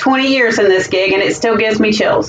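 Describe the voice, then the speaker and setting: A woman speaks with a fairly high pitch at a fairly quick pace. Music plays in the background. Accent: Southern US. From US South, South Carolina. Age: 40s. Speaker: school administrator. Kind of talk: job interview presentation. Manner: formal.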